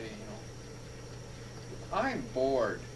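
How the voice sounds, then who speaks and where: A man is heard with noticeable noise around him and audible echo from the room. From city of about 115,000 people. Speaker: oral history interviewer. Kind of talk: oral history interview.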